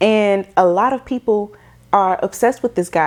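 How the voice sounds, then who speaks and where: A woman speaks at a medium pitch in an animated tone. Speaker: tarot reader. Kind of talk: energy reading monologue.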